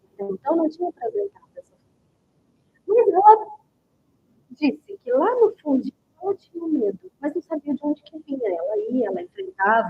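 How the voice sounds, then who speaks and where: A high-pitched woman's voice with very wide pitch swings, big swings in loudness, a moderate pace and long, frequent pauses. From Goiás, Brazil. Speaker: book club host. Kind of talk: live stream talk. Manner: conversational.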